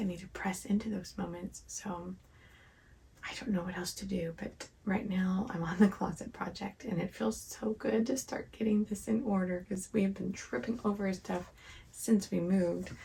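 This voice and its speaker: A soft-spoken woman talks at a medium pitch over noticeable background noise. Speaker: homemaker vlogger. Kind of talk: casual vlog talk. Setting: outdoors in backyard; at home, night. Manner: quiet, talking softly.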